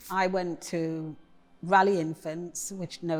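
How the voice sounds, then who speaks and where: A woman with an East Midlands accent speaks at a medium pitch. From Nottingham, England. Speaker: poet. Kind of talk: interview.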